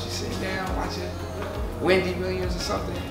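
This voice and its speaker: Loud music plays in the background as a man with an American accent talks at a fairly quick pace, with audible room echo. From Brooklyn, New York. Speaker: performer and percussion workshop teacher. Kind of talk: talk at a community presentation. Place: kitchen.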